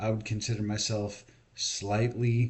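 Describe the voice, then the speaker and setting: A man talks at a moderate pace with a fairly low pitch, a somewhat breathy voice and monotone, flat intonation. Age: 40s. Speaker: video blogger. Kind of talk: monologue rant. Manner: casual.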